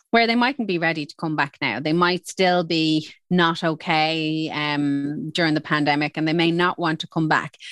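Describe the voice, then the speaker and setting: A woman with an Irish accent speaks at a moderate pace with hardly any pauses, her very deep, low voice showing ordinary pitch variation, in a dry, close recording with no echo and a quiet background. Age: 40s. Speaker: HR executive. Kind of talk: interview.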